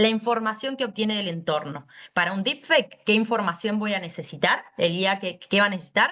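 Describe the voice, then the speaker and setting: Speaking with a Buenos Aires accent, a woman with a medium pitch and a bright, sharp tone talks at a fairly quick pace with lively intonation. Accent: porteño Argentine Spanish. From Buenos Aires, Argentina. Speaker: law lecturer. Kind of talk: lecture. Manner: fast.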